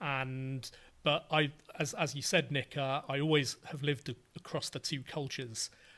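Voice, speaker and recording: A man with a British accent speaks in a fairly high pitch with a bright, sharp tone and monotone, flat intonation. His pace is fairly slow, on a very clean recording with a silent background. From England. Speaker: writer and podcaster. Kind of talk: casual interview.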